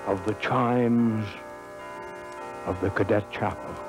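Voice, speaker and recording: A man speaking at a very slow pace over background music. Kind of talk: historical speech, pep talk to a football team.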